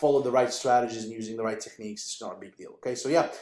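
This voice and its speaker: Very fast delivery from a man at medium pitch. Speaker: online business coach. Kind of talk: tutorial.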